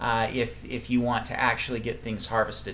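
Light background noise sits behind a man who talks at a fairly quick pace. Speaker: garden class host. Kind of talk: live webinar lecture. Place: home room. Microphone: webcam.

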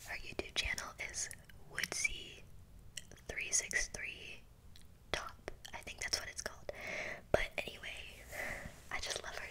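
A woman whispers at a fairly slow pace, with long, frequent pauses and big swings in loudness. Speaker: ASMR creator. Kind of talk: casual vlog chat. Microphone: studio mic.

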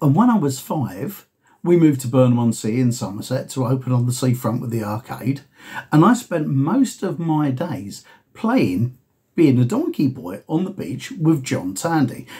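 Against a quiet background, a man with a dark, mellow, somewhat breathy tone speaks at a moderate pace with lively intonation. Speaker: vlogger. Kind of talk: casual vlog chat. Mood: reflective, storytelling. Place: home room. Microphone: webcam.

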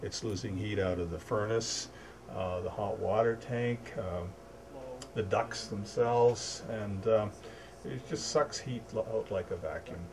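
A normal speaking voice from a man, fairly low in pitch and fairly slow in pace, with ordinary pitch variation over light background noise. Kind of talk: explanatory tutorial. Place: home room.

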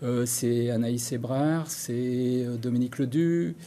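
A dark, mellow tone at a fairly slow pace. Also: man, medium pitch for a man, fairly even intonation.

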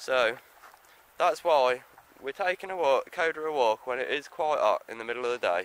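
A man at a fairly slow pace, the sound dry with no echo. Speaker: dog owner vlogger. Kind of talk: casual vlog chat. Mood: relaxed, chatty. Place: open country. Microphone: phone near.

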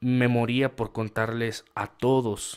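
An animated man with a north-central Mexican accent, medium-pitched, on a very clean recording with a silent background. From Mexico, rural San Luis Potosí. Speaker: writer and small business owner. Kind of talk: casual monologue to camera.

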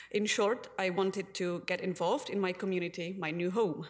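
With a Czech accent, a woman speaks at a moderate pace and medium pitch. Her intonation stays fairly even. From Czech Republic. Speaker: community advocate; public delegate to city council. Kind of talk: council delegation speech. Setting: city council chamber. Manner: formal. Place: hall. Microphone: podium.

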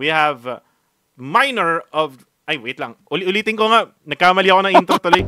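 A man with a high pitch speaks at a fairly quick pace. Music plays in the background. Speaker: podcast host. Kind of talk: casual chat. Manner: animated.

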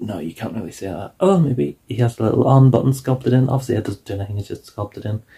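A man speaks in a somewhat breathy voice with a dark, mellow tone against a quiet background. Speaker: toy reviewer. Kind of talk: casual review vlog chat. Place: home room. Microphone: phone near.

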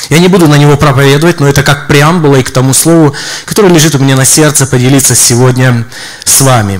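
Over a quiet background, a man speaks at a fairly high pitch with ordinary pitch variation. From Donbas, Ukraine. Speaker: visiting preacher, church minister. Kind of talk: sermon. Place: church. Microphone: handheld.

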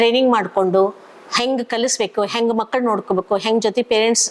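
A woman's fairly high-pitched voice with monotone, flat intonation and noticeable background noise. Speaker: school teacher. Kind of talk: interview testimony.

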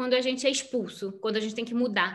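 Over a quiet background, a woman projects a raised voice at a high pitch. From Rio de Janeiro, Brazil. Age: 40s. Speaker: writer; interviewee. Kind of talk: interview. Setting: video call. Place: home room. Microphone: video call.

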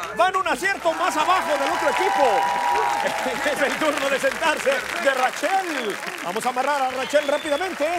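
Over crowd noise in the background, a man talks at a moderate pace with ordinary pitch variation and hardly any pauses. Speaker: game show host. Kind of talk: game show hosting. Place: stage. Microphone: lapel.

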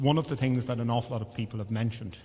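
A man speaks with an Irish accent in a dark, mellow tone. His voice is somewhat breathy. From Ireland. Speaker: priest. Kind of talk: funeral homily and mass liturgy. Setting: church. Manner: warm, reminiscing, gently humorous about his late father; halting, with repeated false starts. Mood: warm, reminiscing. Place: church. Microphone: podium.

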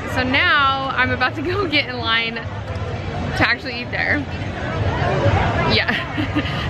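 The voice belongs to a woman. Behind her, music can be heard clearly. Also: dry sound with no echo. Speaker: food vlogger. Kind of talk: casual vlog chat. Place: street. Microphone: phone near.

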